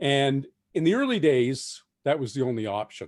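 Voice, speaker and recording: In an ordinary speaking voice, a man with a fairly high pitch talks at a moderate pace, the sound dry and close with no echo. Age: 60s. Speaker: science fiction novelist. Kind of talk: festival talk.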